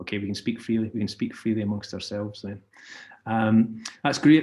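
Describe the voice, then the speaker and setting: The speaker talks at a moderate pace with a Scottish accent and ordinary pitch variation. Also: man. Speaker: advertising creative director. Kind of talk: webinar presentation. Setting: video call. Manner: hesitant, many fillers.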